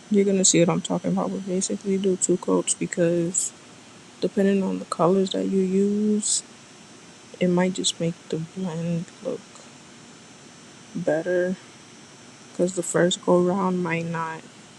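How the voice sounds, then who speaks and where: With noticeable background noise behind her, a woman at medium pitch talks at a fairly slow pace in a monotone, flat intonation, leaving long, frequent pauses. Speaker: nail artist. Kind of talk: tutorial.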